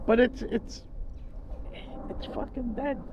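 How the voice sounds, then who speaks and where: Noticeable background noise and audible room echo surround the recording. A man speaks at a fairly slow pace. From Italy, Naples area (Caserta province). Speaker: wheelchair rider. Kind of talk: casual chat. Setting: outdoors.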